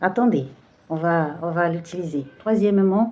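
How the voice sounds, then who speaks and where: In a Brazilian accent, a woman with a fairly low pitch and a dark, mellow tone talks at a fairly slow pace with ordinary pitch variation. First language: Portuguese (speaking French). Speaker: tarot card reader. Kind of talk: spiritual card reading. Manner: halting, many hesitations.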